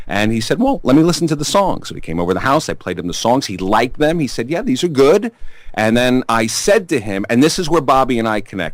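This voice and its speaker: In a strong Brooklyn accent, the voice races at a very fast pace with very wide pitch swings. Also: man, medium pitch for a man. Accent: thick Brooklyn. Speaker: rock musician, singer-songwriter. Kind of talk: interview. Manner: animated storytelling.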